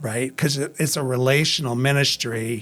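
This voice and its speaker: Captured in a very clean recording with a silent background, a man with a Midwestern American accent speaks in a bright, sharp tone with fairly even intonation. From Waukegan, Illinois. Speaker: pastor and ministry director. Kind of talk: interview answer.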